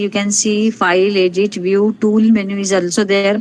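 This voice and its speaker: A woman speaks in an unremarkable speaking voice at a medium pitch and moderate pace. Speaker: resource person at academic webinar. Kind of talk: lecture-style software tutorial. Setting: online webinar.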